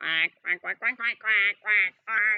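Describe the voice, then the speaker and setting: A put-on character voice, female-sounding, at medium pitch for a woman and a fairly slow pace. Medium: read story. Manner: loud, fierce.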